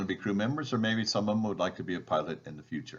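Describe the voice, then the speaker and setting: The man's voice sits fairly low, with ordinary pitch variation. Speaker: balloon safety presenter. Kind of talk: presentation. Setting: video call.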